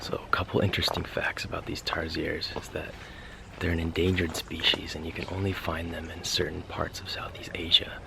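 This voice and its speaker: A man speaks fairly quickly in a very deep, low pitch, his intonation monotone and flat. His loudness swings widely, and background noise is noticeable. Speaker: travel vlogger. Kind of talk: travel vlog narration.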